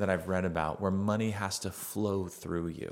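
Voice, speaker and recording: At a moderate pace, a man with an unremarkable speaking voice talks in a fairly low pitch. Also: very clean recording, silent background. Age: 40s. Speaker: father interviewing his son, podcast host. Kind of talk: casual chat.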